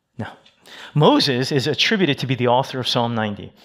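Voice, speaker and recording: The speaker uses a normal speaking voice at a fairly quick pace. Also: man. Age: 50s. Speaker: associate pastor. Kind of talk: sermon. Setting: church.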